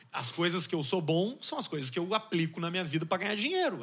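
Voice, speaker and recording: A man's high-pitched voice at a very fast pace, over noticeable background noise. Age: 30s. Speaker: communicator, podcaster. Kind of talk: casual chat.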